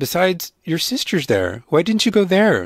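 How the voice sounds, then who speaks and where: A put-on character voice at a moderate pace on a very clean recording with a silent background. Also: man. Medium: read story.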